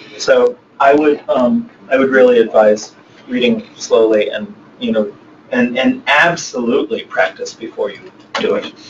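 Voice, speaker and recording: With noticeable background noise, a man talks at a moderate pace. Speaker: poet and novelist. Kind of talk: interview Q&A. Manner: occasional stammer; hesitant, many fillers.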